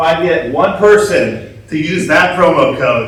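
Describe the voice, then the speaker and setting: A fairly high-pitched man is heard with an audible room echo. Noticeable background noise runs behind him. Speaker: security conference speaker, hardware hacker. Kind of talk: conference talk. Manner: slow.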